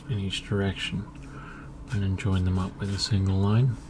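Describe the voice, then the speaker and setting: A man speaks calmly with an English accent at a fairly low pitch. Background noise is noticeable. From England. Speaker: artist. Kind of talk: ASMR talk while drawing. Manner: soft-spoken, calm.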